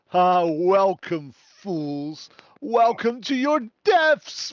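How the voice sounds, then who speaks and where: This put-on character voice sits at a middle pitch. The pace is very slow. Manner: scary, menacing.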